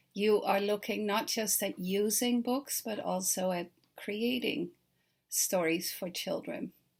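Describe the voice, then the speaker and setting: With a Dutch accent, a woman at medium pitch speaks very slowly and somewhat breathily, with ordinary pitch variation, in a very clean recording with a silent background. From Netherlands. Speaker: children's author. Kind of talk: recorded talk to teachers. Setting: self-recorded video. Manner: friendly, conversational with fillers.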